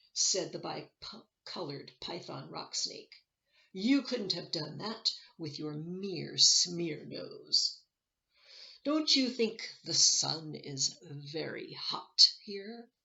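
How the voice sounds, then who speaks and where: In a put-on character voice, the speaker talks at a very slow pace. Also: woman. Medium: read story. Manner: sly, instructive.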